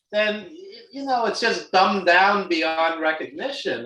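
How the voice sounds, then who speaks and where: A man with a Brooklyn accent speaks at a fairly slow pace, his bright, sharp tone carried by lively intonation. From New York, Brooklyn. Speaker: wrestling film producer. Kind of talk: casual chat.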